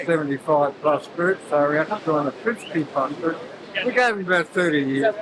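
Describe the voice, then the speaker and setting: This speaker has an Australian accent and ordinary pitch variation. The pace is fairly quick, and background noise is noticeable. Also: man. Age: 80s+. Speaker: surf lifesaving competitor. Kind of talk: casual post-race interview.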